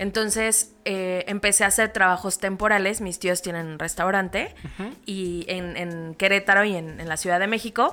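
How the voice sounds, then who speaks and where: Bright and sharp in tone, a woman at medium pitch speaks at a moderate pace with hardly any pauses, fairly even intonation and big swings in loudness. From Mexico, State of Mexico (Toluca). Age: 30s. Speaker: insurance and investment agent. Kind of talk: interview conversation.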